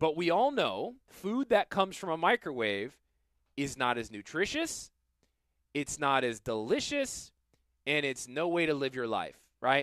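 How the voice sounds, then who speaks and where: Against a quiet background and in a dry sound with no echo, a man with a fairly high pitch speaks in an animated tone at a fairly slow pace, using very wide pitch swings and long, frequent pauses. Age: 40s. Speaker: financial planner and radio host; radio host. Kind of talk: casual chat. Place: studio. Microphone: headset.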